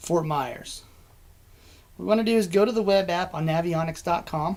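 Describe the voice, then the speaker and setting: Ordinary pitch variation marks the speech of this man. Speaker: marine electronics specialist. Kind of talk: webinar presentation. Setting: online webinar. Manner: fast.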